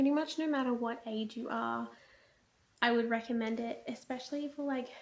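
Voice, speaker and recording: A woman speaks quietly at a moderate pace. Her pitch is high. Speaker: book reviewer vlogger. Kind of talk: casual video monologue. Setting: at home at night. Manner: quiet, hushed; animated.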